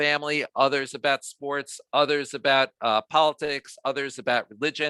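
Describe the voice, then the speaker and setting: A man's fairly high, bright, sharp voice with a slight New York accent, monotone and flat, at a moderate pace, in a dry, close sound with no echo and a very clean recording with a silent background. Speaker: diversity trainer. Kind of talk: training workshop.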